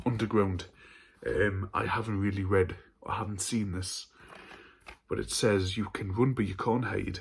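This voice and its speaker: A man with a northern English accent speaks in a monotone, flat way, with long, frequent pauses. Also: fairly low pitch for a man, moderate pace. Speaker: horror film YouTuber. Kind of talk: casual haul video. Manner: stuttering.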